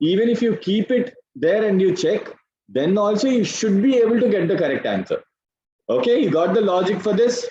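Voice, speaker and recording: Someone speaks with an Indian accent at a moderate pace. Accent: Indian English, Telugu. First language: Telugu. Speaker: English grammar teacher. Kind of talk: online class lecture.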